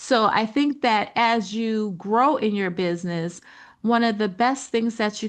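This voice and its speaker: An unremarkable speaking voice from a woman, fairly high in pitch, at a fairly slow pace with ordinary pitch variation over a quiet background. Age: 60s. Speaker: business coach. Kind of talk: webinar presentation. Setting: online presentation with slides. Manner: conversational, lots of fillers.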